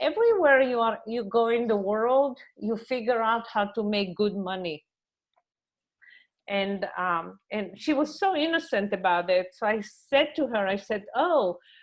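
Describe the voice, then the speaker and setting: Fairly slow speech with an Israeli accent against a quiet background. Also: woman. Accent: foreign accent, Israeli. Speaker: mediator. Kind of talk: panel discussion, training.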